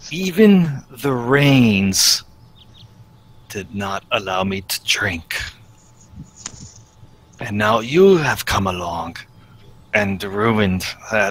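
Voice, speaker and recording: In a put-on character voice, a man speaks very slowly at a fairly low pitch, leaving long, frequent pauses. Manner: weary, grim.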